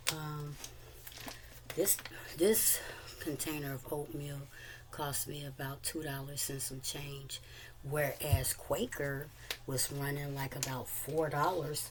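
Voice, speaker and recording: A woman with a very deep, low pitch speaks at a very slow pace, with long, frequent pauses and fairly even intonation. Audible room echo and noticeable background noise fill the recording. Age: 60s. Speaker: cooking vlogger. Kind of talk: casual tutorial. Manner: halting, many fillers.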